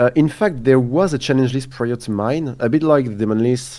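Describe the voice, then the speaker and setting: A man speaks in a French accent. His voice has a dark, mellow tone. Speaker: gaming content creator. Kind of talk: casual chat. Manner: halting.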